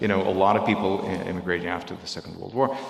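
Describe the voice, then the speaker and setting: Lively intonation comes through audible room echo and noticeable background noise. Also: man. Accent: Russian. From Belarus. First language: Russian. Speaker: volunteer speaking at a synagogue. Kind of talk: talk to a congregation. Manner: halting.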